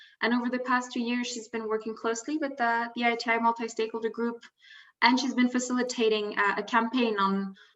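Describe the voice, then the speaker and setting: A woman's fairly high voice, very fast and monotone and flat, over a quiet background. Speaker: panel moderator. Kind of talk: webinar panel moderation. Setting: video webinar. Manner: hesitant, many fillers and repetitions.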